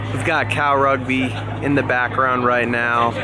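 With music in the background, a man speaks at a fairly quick pace in a dry sound with no echo. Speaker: rugby vlogger. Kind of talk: casual vlog chat. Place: stadium. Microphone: phone near.

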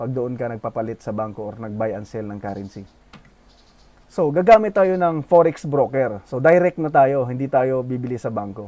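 This man has a medium pitch and a dark, mellow tone. He moves at a moderate pace with lively intonation and big swings in loudness. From Philippines, Bohol. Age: 20s. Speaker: forex trading youtuber. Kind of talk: tutorial.

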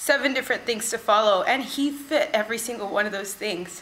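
Over light background noise, a woman with an American accent speaks with ordinary pitch variation. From California. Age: young. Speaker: workshop participant. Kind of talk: testimony. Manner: halting, with fillers. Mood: earnest, emotional, reflective.

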